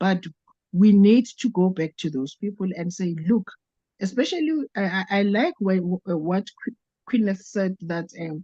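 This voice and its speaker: A woman speaks at a fairly slow pace with medium pitch, ordinary pitch variation and a dark, mellow, somewhat breathy tone. The sound is dry and close, with no echo. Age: 60s. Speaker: network marketing participant. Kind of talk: testimony. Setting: video call. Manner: halting.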